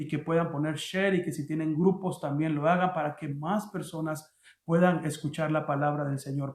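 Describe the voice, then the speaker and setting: Fairly even intonation from a man whose voice is fairly high. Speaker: pastor. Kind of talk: sermon. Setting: online livestream. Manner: halting.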